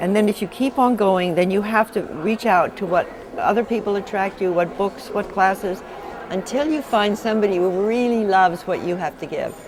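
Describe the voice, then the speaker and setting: Noticeable noise sits behind this woman. Her pitch varies normally as she talks. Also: medium pitch for a woman, moderate pace. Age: 80s+. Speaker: visionary and author. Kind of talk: interview.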